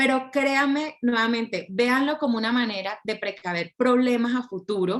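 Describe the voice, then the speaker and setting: Her high voice comes with a Colombian accent as the woman speaks at a moderate pace with hardly any pauses. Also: ordinary pitch variation. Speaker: intellectual property lawyer. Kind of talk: lecture. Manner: clear.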